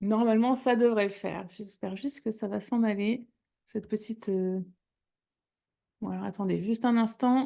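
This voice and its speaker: A woman with a fairly high pitch and a dark, mellow tone speaks at a moderate pace, her intonation fairly even. She leaves long, frequent pauses against a quiet background. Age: 30s. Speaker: wellness product presenter. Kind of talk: webinar presentation. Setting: livestream with chat. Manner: hesitant, many fillers.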